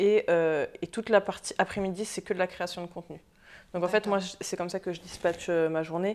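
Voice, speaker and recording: A woman with a medium pitch talks at a fairly quick pace in a monotone, flat intonation, broken by long, frequent pauses, in a very clean recording with a silent background. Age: 20s. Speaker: entrepreneur and social media influencer. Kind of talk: interview. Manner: hesitant, many fillers.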